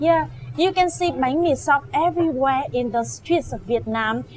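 Music plays behind a woman whose voice sits high in pitch. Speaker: food vlogger. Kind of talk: casual vlog chat.

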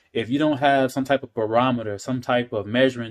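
The background stays quiet while a man speaks. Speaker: talk show host vlogger. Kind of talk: casual vlog chat. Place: kitchen. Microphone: phone near.

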